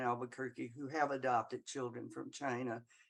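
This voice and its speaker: With a Southern US accent, a woman talks at a moderate pace. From US South. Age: 80s+. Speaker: audience member. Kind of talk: audience comment in Q&A. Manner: halting.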